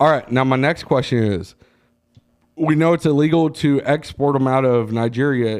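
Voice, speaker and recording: A man talks loudly at a moderate pace, at medium pitch. His tone is animated, with ordinary pitch variation. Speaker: podcast host. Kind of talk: casual chat, profane banter. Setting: studio, podcast recording. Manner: loud, animated.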